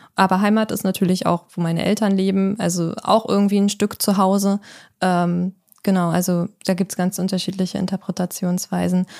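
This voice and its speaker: A woman speaks at a moderate pace and medium pitch in a flat monotone, the sound dry and close with no echo on a very clean recording with a silent background. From Kiel, northern Germany. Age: 20s. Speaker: homeowner renovating a house. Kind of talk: casual chat. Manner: hesitant with many fillers.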